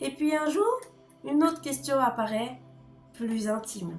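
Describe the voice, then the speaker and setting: Music plays in the background as a woman speaks. Her voice is high with lively intonation. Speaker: writing coach. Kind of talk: educational talk to camera.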